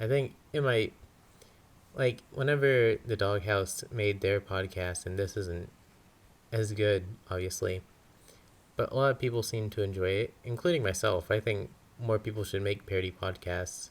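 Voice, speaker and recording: Speaking at a moderate pace with long, frequent pauses, a man uses a fairly low pitch and ordinary pitch variation. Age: young adult. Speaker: social media parody account creator. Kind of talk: casual commentary over screen recording. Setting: home recording under a blanket. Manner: halting.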